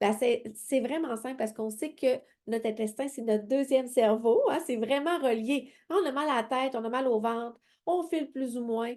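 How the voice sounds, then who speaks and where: Against a quiet background, a woman with a Quebec accent speaks in an animated tone at a high pitch with ordinary pitch variation. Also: moderate pace. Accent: Québécois French. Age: 40s. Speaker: independent sales consultant. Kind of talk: sales pitch.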